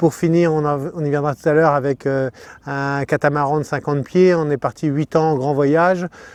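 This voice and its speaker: Against a quiet background, a man with a fairly high voice speaks at a fairly slow pace and with fairly even intonation, the sound dry and close without echo. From Normandy, France. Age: 60s. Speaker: sailor and boat builder. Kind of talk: interview. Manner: hesitant, many fillers.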